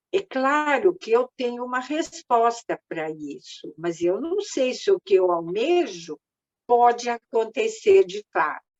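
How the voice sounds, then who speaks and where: A woman speaks at a very slow pace, her high pitch making very wide swings. Her loudness also rises and falls in big swings. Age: 70s. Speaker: psychotherapist and group coordinator. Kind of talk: online group talk. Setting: video call.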